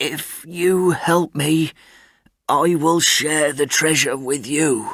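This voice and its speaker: In a put-on character voice, a man speaks very slowly with a raspy, fairly high pitch and fairly even intonation. The recording is very clean, with a silent background. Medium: read story.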